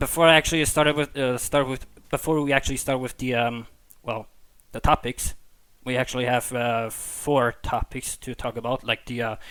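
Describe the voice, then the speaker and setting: A man speaks with a non-native accent at a medium pitch. His pace is moderate and his intonation fairly even. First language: not English. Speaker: podcast host. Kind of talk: casual podcast chat. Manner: halting, many fillers and repetitions.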